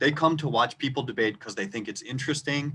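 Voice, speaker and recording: A man with a slight Minnesota accent talks in a bright, sharp tone with ordinary pitch variation. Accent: rural Minnesota, slight. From rural Minnesota. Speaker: debate coach. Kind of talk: tutorial. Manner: louder than normal; clear, moderate pace.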